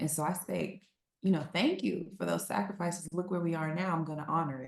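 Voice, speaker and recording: In an American accent, a woman talks at a fairly quick pace with a fairly low pitch, vocal fry, and ordinary pitch variation. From Texas. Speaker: celebrity's daughter, PR professional. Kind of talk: interview. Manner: loud; animated.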